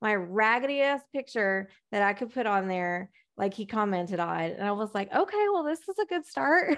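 An unremarkable speaking voice from a woman with an American accent, fairly high in pitch, with lively intonation at a moderate pace against a quiet background. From Texas. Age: 30s. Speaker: dating coach. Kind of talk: casual interview chat.

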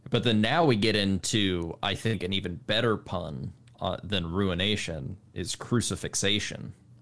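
Here is a man with a normal speaking voice, pitched fairly low. He talks at a fairly slow pace with ordinary pitch variation. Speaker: podcast host. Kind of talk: casual chat. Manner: casual, conversational.

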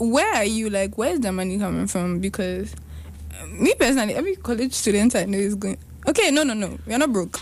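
Noticeable background noise runs under the clip. Over it, a woman talks very fast. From Ghana. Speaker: podcast co-host. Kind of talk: casual chat.

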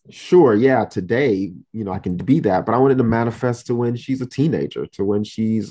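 A man talks in a dark, mellow tone against a quiet background. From Miami, Florida (Haitian-American family). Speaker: diversity and inclusion consultant. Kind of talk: interview.

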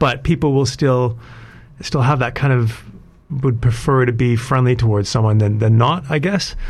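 With a Canadian accent, a man speaks at a moderate pace and medium pitch, somewhat breathy, his loudness very even and his pitch varying in an ordinary way. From Canada, Alberta. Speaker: IT specialist and entrepreneur. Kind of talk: radio interview. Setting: radio studio.

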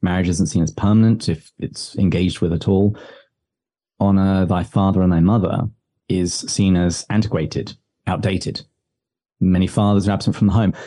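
In an English accent, a man with a very deep, low, dark and mellow voice speaks at a moderate pace with fairly even intonation, very even loudness and long, frequent pauses. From England, village. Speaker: podcast host, writer on religion. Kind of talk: interview answering.

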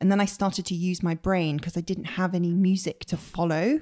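A woman speaks in a West Country accent at a moderate pace and medium pitch. Her intonation stays fairly even in a very clean recording with a silent background. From Bristol, West Country England. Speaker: professional violinist. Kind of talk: casual interview chat.

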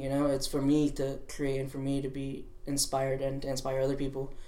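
Amid audible room echo, a man with a fairly high pitch talks at a fairly quick pace in monotone, flat intonation. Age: 20s. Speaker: clothing brand founder. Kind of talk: casual interview. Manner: halting, many fillers.

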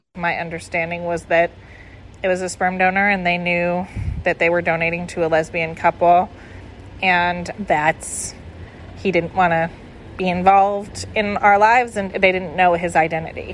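Speaking at a moderate pace, a woman has an unremarkable speaking voice that sits fairly low in pitch. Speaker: donor-conceived sibling. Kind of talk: interview testimony.

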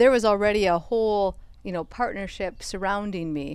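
A woman talks at a moderate pace with an American accent and a medium pitch. She has a normal speaking voice with ordinary pitch variation. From Minnesota. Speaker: soil health specialist. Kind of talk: casual chat interview. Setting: outdoors on a porch.

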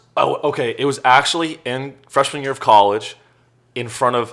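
Here a man talks at a moderate pace with ordinary pitch variation. He has an ordinary speaking voice. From Silicon Valley, California. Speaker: comedian. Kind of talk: casual interview chat.

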